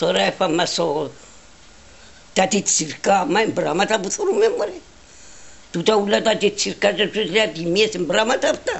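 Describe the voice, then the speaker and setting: Speaking at a medium pitch, a woman talks in a Cypriot accent. Noticeable background noise can be heard. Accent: Cypriot Greek dialect. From Cyprus, Palaichori village. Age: 90s. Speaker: elderly interviewee. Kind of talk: oral history interview. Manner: halting, repetitive.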